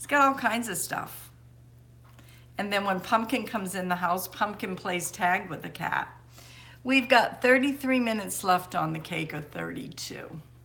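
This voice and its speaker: A woman with a medium pitch and a bright, sharp tone speaks at a moderate pace, her intonation lively and her loudness swinging widely. Vocal fry shows up, and the room echo is audible. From Maine. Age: 60s. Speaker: homesteading livestreamer. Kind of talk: casual live stream chat.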